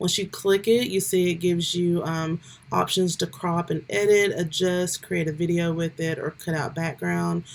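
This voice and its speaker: With fairly even intonation and a moderate pace, a woman uses a normal speaking voice set fairly low in pitch. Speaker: YouTuber giving tech tutorials. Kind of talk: tutorial. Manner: casual, with filler ums.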